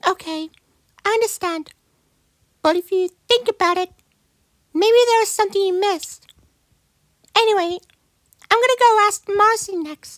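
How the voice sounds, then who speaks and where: In a squeaky, put-on character voice with an extremely high pitch, a woman speaks at a moderate pace with ordinary pitch variation and long, frequent pauses. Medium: machinima. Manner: polite, earnest questioning.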